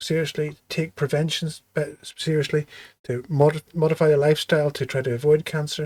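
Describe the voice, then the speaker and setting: In a Belfast accent, a man talks at a moderate pace with a fairly high pitch, in a dry, close sound with no echo. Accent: Belfast Irish. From Northern Ireland, Belfast. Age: 50s. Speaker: surgeon. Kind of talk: interview.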